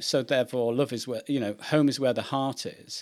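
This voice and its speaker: This man has a plain, everyday voice at a medium pitch. He talks at a moderate pace on a very clean recording with a silent background. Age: 50s. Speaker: podcast host. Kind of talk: interview.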